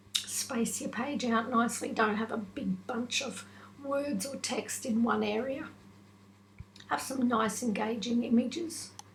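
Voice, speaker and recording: A woman speaks fairly slowly in a fairly high voice, with audible room echo and noticeable background noise. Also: ordinary pitch variation. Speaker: online business tutor / vlogger. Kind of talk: tutorial.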